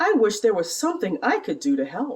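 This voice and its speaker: A put-on character voice, fairly high-pitched and fairly quick, with very wide pitch swings. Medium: read story.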